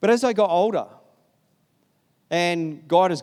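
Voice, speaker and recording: High male voice with an Australian accent and ordinary pitch variation, on a very clean recording with a silent background. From Sydney, Australia. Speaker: pastor. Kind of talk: sermon. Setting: church.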